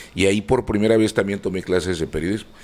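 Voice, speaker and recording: A man's voice over noticeable background noise. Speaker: radio and TV announcer. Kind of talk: interview answer.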